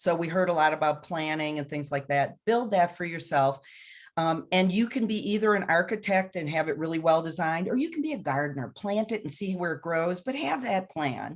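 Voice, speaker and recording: At a fairly quick pace, a woman with an unremarkable speaking voice talks in a fairly low pitch with ordinary pitch variation. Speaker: panelist. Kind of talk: panel webinar discussion.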